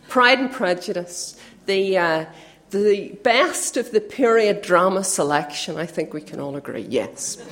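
A woman at medium pitch, lively intonation and big swings in loudness, a fairly slow pace, noticeable background noise behind her. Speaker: youth worker making announcements. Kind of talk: church announcements.

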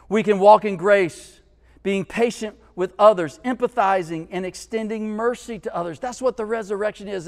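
A man speaks at a fairly quick pace. His pitch is high, with ordinary variation. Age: 50s. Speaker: pastor. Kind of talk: sermon.

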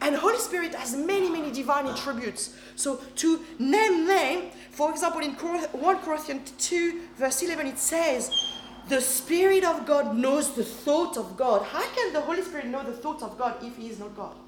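Noticeable background noise sits behind a woman's high voice at a moderate pace. Her intonation is lively, with big swings in loudness. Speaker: preacher. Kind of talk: sermon. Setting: church.

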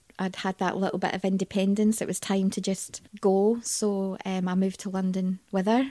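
Speaking in a Scottish accent at a moderate pace, a woman has a medium pitch and a dark, mellow tone, recorded with a dry, close sound and no echo. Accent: Scottish, Glaswegian-leaning. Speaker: interview guest. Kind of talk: casual interview chat.

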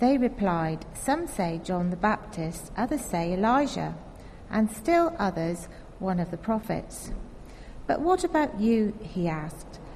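A woman talks at a fairly slow pace and medium pitch, with very wide pitch swings. Vocal fry runs through her voice. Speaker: scripture reader. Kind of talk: reading aloud. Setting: church.

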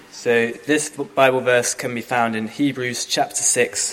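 Noticeable background noise runs under a voice with fairly even intonation. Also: man. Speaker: scripture reader. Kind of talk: reading aloud.

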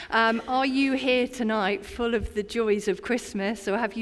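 A woman's fairly high voice in an English accent, with fairly even intonation. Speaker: community chaplain. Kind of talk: sermon. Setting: church. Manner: conversational.

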